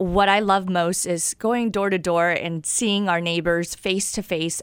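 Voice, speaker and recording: On a very clean recording with a silent background, a woman with a plain, everyday voice talks at a moderate pace, medium in pitch, with fairly even intonation. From US Midwest, Wichita, Kansas. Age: 30s. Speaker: former journalist, mayoral candidate. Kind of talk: radio interview.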